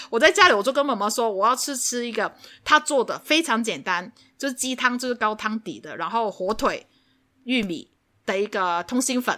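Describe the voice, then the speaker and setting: Loud and animated, a woman with a fairly high pitch and a bright, sharp tone uses lively intonation at a moderate pace. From Hong Kong. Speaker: podcast co-host. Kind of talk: casual chat. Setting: remote recording. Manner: animated, laughs loudly.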